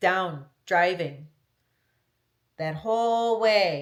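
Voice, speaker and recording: Speaking at a very slow pace, a woman with an American accent shows ordinary pitch variation. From US Midwest, Minnesota/Wisconsin area. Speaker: travel vlogger and podcaster. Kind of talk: casual solo podcast chat. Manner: chatty, talkative.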